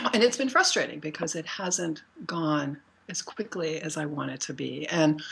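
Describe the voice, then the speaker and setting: A woman speaks at a very deep, low pitch and a moderate pace, with lively intonation. Noticeable background noise is present. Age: 60s. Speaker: artist and workshop teacher. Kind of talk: casual chat. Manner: halting.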